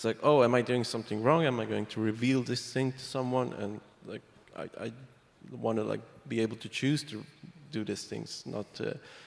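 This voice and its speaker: A man with a non-native accent, medium pitch, fairly even intonation and a moderate pace. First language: not English. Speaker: privacy software developer. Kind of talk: panel discussion.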